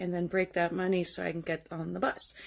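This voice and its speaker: On a very clean recording with a silent background, a woman with an American accent speaks at medium pitch and a moderate pace. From South Dakota. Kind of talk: first-person storytelling. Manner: casual, halting with false starts.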